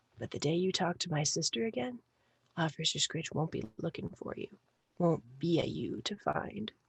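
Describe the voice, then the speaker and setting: A husky, whispered, put-on character voice at a moderate pace. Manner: husky whisper, threatening.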